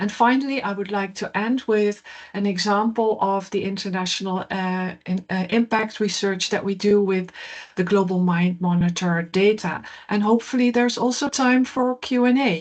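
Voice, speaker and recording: This woman speaks with a Dutch accent at a medium pitch. Her pace is moderate and her pitch variation ordinary. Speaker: professor. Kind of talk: keynote lecture. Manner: hesitant, frequent fillers.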